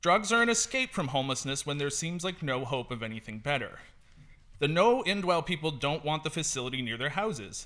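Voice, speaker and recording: Speaking in a Canadian accent, a man with a fairly high, bright, sharp voice moves at a fairly quick pace with lively intonation. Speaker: public speaker at council meeting. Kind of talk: prepared public statement. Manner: fast.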